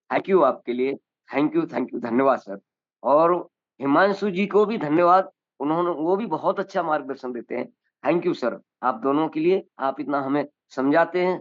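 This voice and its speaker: A man speaks in a fairly high pitch with ordinary pitch variation. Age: 60s. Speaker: new network member. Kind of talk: self-introduction on a Zoom meeting. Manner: halting.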